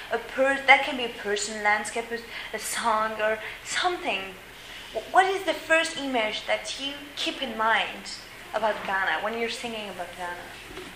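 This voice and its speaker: A woman speaks at a moderate pace with a French accent, her fairly high voice lively in intonation, over noticeable background noise and audible room echo. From France. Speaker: volunteer interviewer. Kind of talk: interview. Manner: halting.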